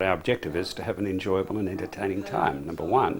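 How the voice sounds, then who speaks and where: A man with an Australian accent speaks in a very deep, low pitch. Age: 70s. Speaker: men's group member. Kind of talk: interview.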